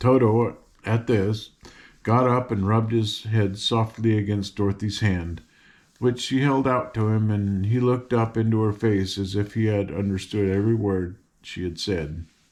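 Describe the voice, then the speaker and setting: Fairly low pitch from a man with a normal speaking voice, fairly even intonation and a moderate pace, set against a quiet background. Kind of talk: children's story read aloud.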